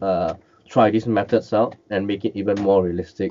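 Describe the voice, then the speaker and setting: With a Cantonese accent, a man speaks at a fairly low pitch and a moderate pace, keeping his intonation fairly even. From Malaysia. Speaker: miniature and collectible painter; interview guest. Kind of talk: interview, casual chat. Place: home room. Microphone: headset.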